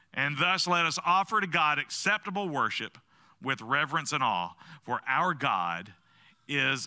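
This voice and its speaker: A man with a bright, sharp tone and vocal fry talks at a fairly slow pace with very wide pitch swings, the sound dry and close with no echo on a very clean recording with a silent background. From US South. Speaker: pastor. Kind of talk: sermon. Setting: church.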